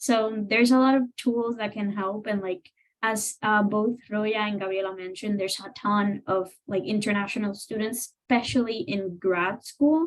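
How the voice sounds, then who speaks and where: A woman talks with a non-native accent and hardly any pauses. Her pitch variation is ordinary. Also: fairly high pitch for a woman, moderate pace. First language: not English. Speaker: grad student. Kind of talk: panel discussion.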